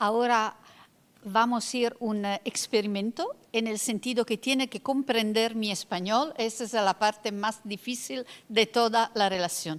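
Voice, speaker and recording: With an Italian accent, a woman talks at a fairly slow pace. Her pitch is fairly high, with ordinary variation. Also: dry, close sound with no echo. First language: Italian (speaking Spanish). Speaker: law professor and panelist. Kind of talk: lecture. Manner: halting.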